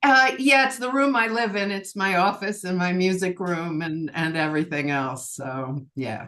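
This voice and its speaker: A woman speaks at a moderate pace with a bright, sharp tone, very wide pitch swings and hardly any pauses. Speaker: cabaret singer. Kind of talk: interview answer.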